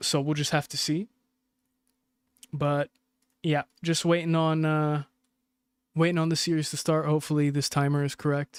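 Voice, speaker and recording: With an American accent, a man speaks in a fairly high, monotone, flat voice with long, frequent pauses, in a very clean recording with a silent background and a dry, close sound with no echo. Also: moderate pace. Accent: sounds American. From UAE. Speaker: esports co-streamer. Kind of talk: live commentary. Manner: casual, rambling with filler sounds.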